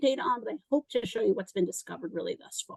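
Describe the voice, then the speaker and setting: A woman talks at a very fast pace with very wide pitch swings, the sound dry and close with no echo. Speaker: physician and medical researcher. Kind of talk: conference presentation.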